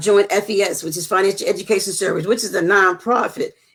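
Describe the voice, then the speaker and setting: A woman speaks with a medium pitch. Music plays behind her. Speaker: entrepreneur, network marketer. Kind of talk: interview. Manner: halting.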